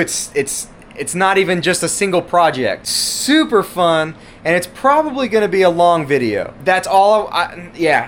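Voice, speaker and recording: A loud man with a high pitch, an animated tone and lively intonation at a fairly slow pace, over noticeable background noise. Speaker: RC car YouTuber. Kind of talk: casual vlog talk to camera. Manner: animated, rambling with restarts.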